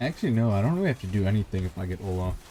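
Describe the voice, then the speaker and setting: Very fast speech from a man with a fairly low pitch and a dark, mellow tone. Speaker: gaming streamer. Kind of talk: gameplay commentary. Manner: calm.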